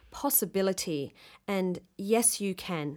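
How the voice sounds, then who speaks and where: Speaking very slowly with lively intonation in an Australian accent, the voice comes through in a very clean recording with a silent background. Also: woman. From Western Australia, southwest. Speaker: actor and director. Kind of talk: interview.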